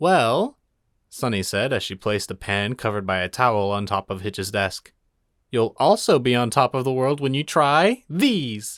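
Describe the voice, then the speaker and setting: An ordinary speaking voice from a man of medium pitch, with lively intonation at a moderate pace, dry and close with no echo. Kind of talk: audiobook reading of fan fiction. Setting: home studio with acoustic foam.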